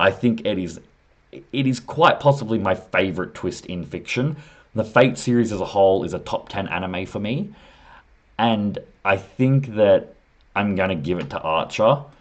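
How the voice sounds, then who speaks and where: A man's fairly low voice with an Australian accent, lively intonation and a moderate pace. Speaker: anime commentator YouTuber. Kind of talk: casual video commentary, ranking. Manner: casual, thinking aloud with fillers.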